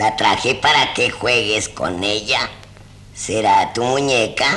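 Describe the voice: This is plain reading aloud. The voice simply reads the text.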